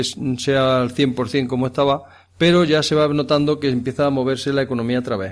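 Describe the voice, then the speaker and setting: With an ordinary speaking voice, a man speaks at a moderate pace and a fairly high pitch. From Andalusia, Jaén province. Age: 50s. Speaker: farm manager. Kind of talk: interview. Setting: on location at a rural farmhouse.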